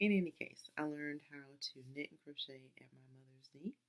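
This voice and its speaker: A soft-spoken woman at a fairly slow pace. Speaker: fiber arts crafter. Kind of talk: casual talk to camera.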